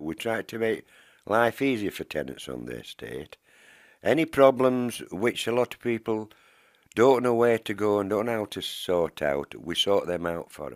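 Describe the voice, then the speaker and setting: This man has a Yorkshire accent and talks at a moderate pace, his loudness swinging widely. The recording is very clean, with a silent background. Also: medium pitch for a man, lively intonation, dry, close sound with no echo. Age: 70s. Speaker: tenants association organiser. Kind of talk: interview.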